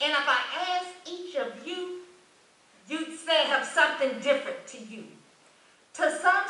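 A woman's raised, projected voice with audible room echo. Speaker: church member giving tribute. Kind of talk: reading aloud a tribute poem.

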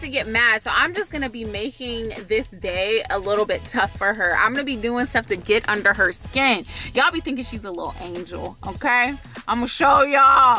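A woman keeps a moderate pace, with faint music in the background. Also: dry sound with no echo. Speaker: vlogger. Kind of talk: casual vlog chat. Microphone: phone near.

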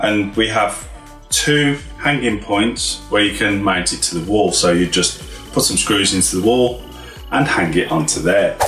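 Faint music and audible room echo accompany a man talking at a fairly slow pace. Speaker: tech reviewer. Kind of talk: unboxing tutorial. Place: office.

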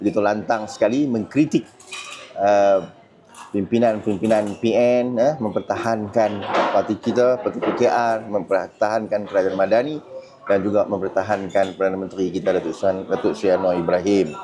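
Noticeable background noise sits behind a man speaking at a moderate pace, his fairly low pitch showing ordinary variation and his loudness very even. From northern Malaysia. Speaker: political content creator and party candidate. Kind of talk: casual vlog monologue. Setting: airport. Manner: halting, filler-heavy.

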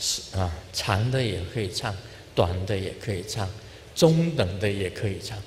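Over light background noise, a man with a fairly low pitch talks at a fairly slow pace with lively intonation. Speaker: Buddhist spiritual leader. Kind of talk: informal dharma talk to an audience. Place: hall. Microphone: handheld.

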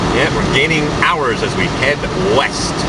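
Loud background noise fills the recording. The speech moves at a fairly slow pace. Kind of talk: casual vlog chat. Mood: relaxed, jokey. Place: car. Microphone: phone near.

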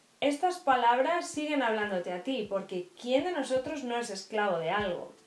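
Audible room echo surrounds a woman whose high voice swings very widely in pitch at a fairly slow pace. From Spain. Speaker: YouTuber; vlogger. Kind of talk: faith vlog monologue. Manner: hesitant with repetitions. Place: home room. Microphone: camera far.

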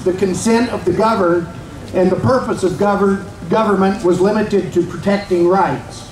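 A man with a high voice speaks at a moderate pace, his intonation fairly even, over noticeable background noise. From Virginia, US. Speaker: rally speaker. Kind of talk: rally speech. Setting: outdoor rally with crowd. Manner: formal, rhetorical. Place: street.

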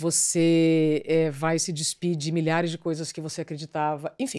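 The tone is dark and mellow, delivered in a flat monotone. The recording is very clean, with a silent background. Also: woman, fairly low pitch for a woman, moderate pace. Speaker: TV journalist. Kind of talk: casual chat.

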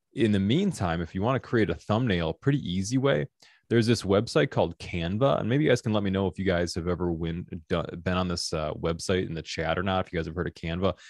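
A man's very deep, low voice at a very fast pace, with ordinary pitch variation, a dry sound with no echo and a quiet background. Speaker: workshop host. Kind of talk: tutorial. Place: studio. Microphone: studio mic.

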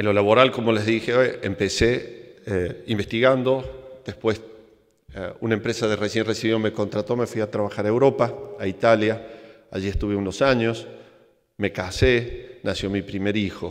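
A man with a Córdoba Argentine accent talks at a medium pitch and a moderate pace. His intonation stays fairly even against a quiet background. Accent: Cordoban Argentine Spanish, noticeable. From Argentina, Córdoba; Argentina. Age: 50s. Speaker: engineer and plane crash survivor; conference speaker. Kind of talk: motivational talk. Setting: stage with audience. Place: stage. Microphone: podium.

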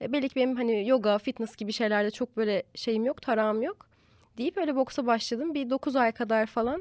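With an ordinary speaking voice, a woman talks at fairly high pitch and a moderate pace with ordinary pitch variation, in a very clean recording with a silent background and a dry, close sound with no echo. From Turkey, Eskişehir. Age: 20s. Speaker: lifestyle content creator. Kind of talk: casual chat.

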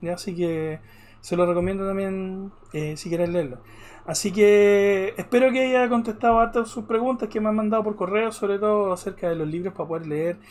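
A man talks at a moderate pace. He has a Chilean accent. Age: 40s. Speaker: art teacher; ink painting teacher. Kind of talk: online class. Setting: live stream. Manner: halting. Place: home room.

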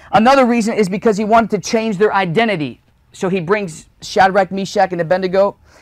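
Talking at a very fast pace, a man with a high pitch and ordinary pitch variation is heard over a quiet background, the sound dry with no echo. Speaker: young evangelist, preacher. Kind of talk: sermon preached to a live congregation. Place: home room. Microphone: lapel.

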